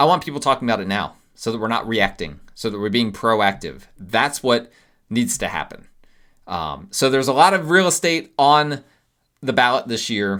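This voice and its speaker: With a bright, sharp tone, a man's voice swings very widely in pitch. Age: 40s. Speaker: realtor and podcast host. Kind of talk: solo podcast commentary. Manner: casual, with many fillers and restarts.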